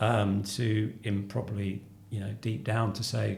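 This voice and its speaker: A man with a southeast English accent speaks at a fairly slow pace, his fairly low voice showing vocal fry. Audible room echo surrounds him. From southeast London. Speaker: company finance chief. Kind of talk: interview conversation. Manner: halting.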